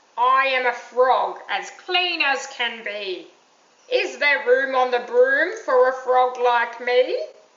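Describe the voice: Using a put-on character voice, a woman talks very slowly in a croaky, high pitch.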